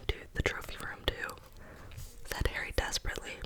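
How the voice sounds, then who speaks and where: A woman whispers over noticeable background noise. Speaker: ASMR content creator. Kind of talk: ASMR book reading. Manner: whispered, soft.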